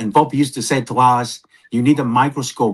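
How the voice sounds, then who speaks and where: A man with a non-native accent at a moderate pace. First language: not English. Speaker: podcast co-presenter. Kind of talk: podcast conversation.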